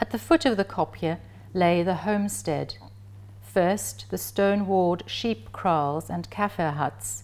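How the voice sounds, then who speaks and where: A woman's very deep, low pitch with very wide pitch swings and a very slow pace, on a very clean recording with a silent background. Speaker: professor giving a talk. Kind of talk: lecture with passages read aloud from a novel, literary reading. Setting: lecture presentation. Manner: measured, slow and evocative when reading the passage aloud; formal, scholarly.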